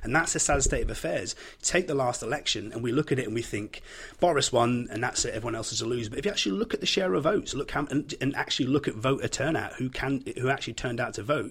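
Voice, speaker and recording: A man with a Yorkshire accent speaks at a very fast pace in a medium pitch with lively intonation. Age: 30s. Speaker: podcast guest. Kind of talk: casual discussion.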